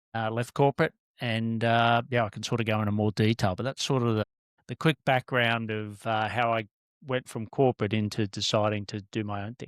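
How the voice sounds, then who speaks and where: Speaking in an Australian accent, a man keeps a medium pitch and a monotone, flat intonation at a fairly quick pace. The very clean recording has a silent background and a dry, close sound with no echo. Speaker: business mentor and former corporate director. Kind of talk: podcast interview. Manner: hesitant, many fillers.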